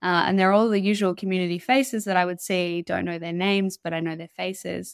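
A woman with an Australian accent speaks at a very fast pace, her pitch medium and her intonation fairly even. The sound is dry and close with no echo, on a very clean recording with a silent background. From northern New South Wales, Australia. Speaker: legal researcher and climate activist. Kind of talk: interview.

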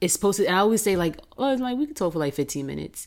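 A woman with a New York accent speaks with lively intonation. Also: very clean recording, silent background. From Queens, New York. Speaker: entrepreneur. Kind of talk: casual chat.

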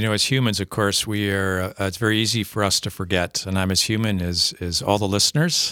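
In a very clean recording with a silent background, a man with an Upper Midwest accent talks at a fairly quick pace, hardly pausing. His voice is fairly low in pitch, with a bright, sharp tone. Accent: Upper Midwest American. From Minnesota, rural area near Faribault. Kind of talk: casual interview about faith. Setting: studio.

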